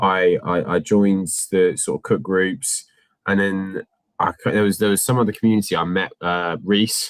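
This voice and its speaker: With a West Country accent, a man delivers his words at a moderate pace, his fairly low pitch held in fairly even intonation. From England, North Devon. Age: 20s. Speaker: Amazon reseller. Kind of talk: casual interview. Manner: halting.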